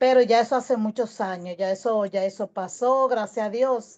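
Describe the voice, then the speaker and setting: This woman talks at a fairly slow pace with a high pitch. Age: 60s. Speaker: audience participant. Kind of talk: personal testimony.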